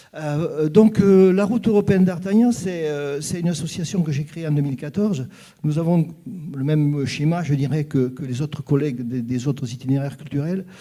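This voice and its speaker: A man speaks with fairly high pitch. His voice is somewhat breathy with a dark, mellow tone. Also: ordinary pitch variation, moderate pace. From southwest France (Gers). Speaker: association president, panelist. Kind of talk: panel talk at a conference. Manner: hesitant, many fillers and repetitions.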